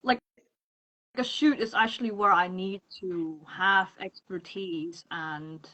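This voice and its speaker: A woman with a non-native accent speaks at a very slow pace and a medium pitch. Her pitch varies in an ordinary way while her loudness swings widely. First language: not English. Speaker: freelance makeup artist. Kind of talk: casual interview chat. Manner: halting, searching for words.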